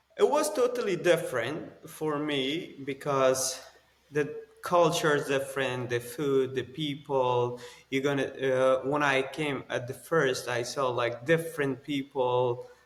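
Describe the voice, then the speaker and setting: Fairly slow, fairly even speech over noticeable background noise. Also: man, fairly high pitch for a man. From Afghanistan. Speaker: former army special forces colonel. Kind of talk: interview. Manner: halting, with fillers.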